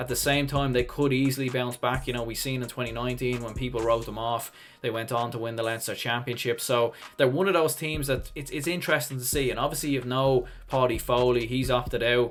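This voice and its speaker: A man's medium-pitched voice in a Dublin accent, fairly quick, with fairly even intonation and music in the background. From Ireland, Dublin. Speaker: sports YouTuber, hurling pundit. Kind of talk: solo preview commentary. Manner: casual, conversational.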